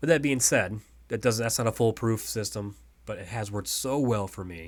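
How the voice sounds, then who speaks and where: On a very clean recording with a silent background, the voice swings widely in loudness while its pitch varies in an ordinary way. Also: man, medium pitch for a man. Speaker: day trader. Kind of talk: tutorial. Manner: fast.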